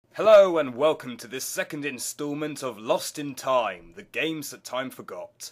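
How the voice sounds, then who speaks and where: At a moderate pace, an unremarkable speaking voice moves with lively intonation and big swings in loudness. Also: man, fairly high pitch for a man. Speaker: video game reviewer. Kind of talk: game review narration.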